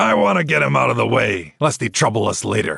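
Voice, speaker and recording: Growling in a put-on character voice, a man speaks at a fairly quick pace and fairly low pitch with very wide pitch swings. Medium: read story. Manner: blunt, forceful.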